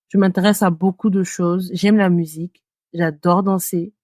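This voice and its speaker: A woman speaks at a moderate pace, her voice dry and close with no echo. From West Africa. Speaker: podcast co-host, marketing consultant. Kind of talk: casual chat.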